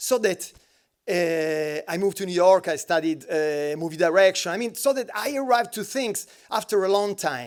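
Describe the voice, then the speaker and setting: A man's high voice, animated in tone with lively intonation at a moderate pace, on a very clean recording with a silent background. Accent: Italian. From Italy. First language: Italian. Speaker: designer. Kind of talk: panel talk.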